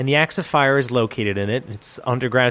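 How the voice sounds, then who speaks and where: A man's medium-pitched, a plain, everyday voice with ordinary pitch variation. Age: 30s. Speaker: podcast co-host. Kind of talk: casual chat; scripted narration.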